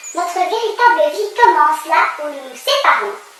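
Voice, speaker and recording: A woman does a put-on character voice at a moderate pace, her pitch extremely high and swinging very widely, with a slight echo. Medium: read story.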